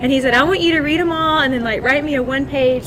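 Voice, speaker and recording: With a Southern US accent, a woman speaks in a high voice. There is noticeable background noise. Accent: Southern US (Georgia). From Georgia, US South. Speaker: scientist. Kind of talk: panel discussion. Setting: live event with online audience.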